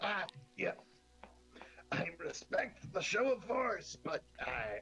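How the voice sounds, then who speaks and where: A man's put-on character voice, extremely high-pitched, at a very slow pace. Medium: actual play.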